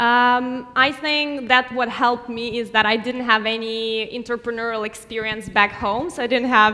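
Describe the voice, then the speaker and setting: A woman with a non-native accent speaks at a fairly high pitch. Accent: foreign. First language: non-English. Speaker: startup founder. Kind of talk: panel discussion.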